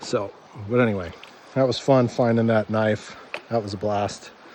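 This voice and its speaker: Over noticeable background noise, a man with a fairly low pitch speaks at a fairly slow pace. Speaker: gold prospecting vlogger. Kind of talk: outdoor tutorial vlog.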